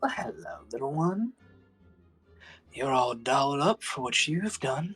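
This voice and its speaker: A put-on character voice at low-to-middle pitch, fairly slow pace, with faint music in the background. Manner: menacing, smooth.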